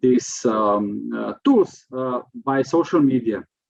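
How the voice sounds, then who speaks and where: A man speaks with a Slovenian accent at a very slow pace. His intonation is lively. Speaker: prevention expert. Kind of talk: lecture. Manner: halting.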